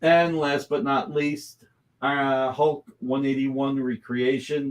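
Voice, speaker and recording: Speaking at a very slow pace, a man with a fairly high pitch keeps his intonation fairly even. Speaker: comic art seller hosting fundraiser. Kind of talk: live-stream sales pitch.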